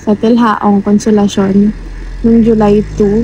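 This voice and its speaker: A woman with a fairly high pitch speaks at a very slow pace. There is noticeable background noise. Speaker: racer and vlogger. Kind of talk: vlog. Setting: in a car. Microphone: no external mic, voice quiet.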